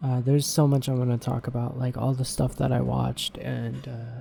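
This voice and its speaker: A man talks at a moderate pace with a medium pitch. His voice is quiet. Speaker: podcast host. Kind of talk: casual solo podcast monologue. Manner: quiet, keeping voice down for sleeping baby.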